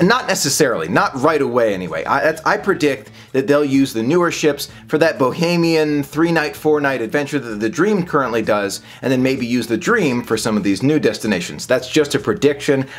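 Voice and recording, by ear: Lively intonation at a fairly quick pace, with few pauses. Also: man, medium pitch for a man.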